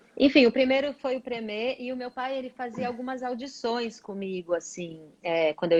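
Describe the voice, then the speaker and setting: A woman speaks fairly quickly with a fairly high pitch and lively intonation. The sound is dry and close, with no echo. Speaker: singer. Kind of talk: interview.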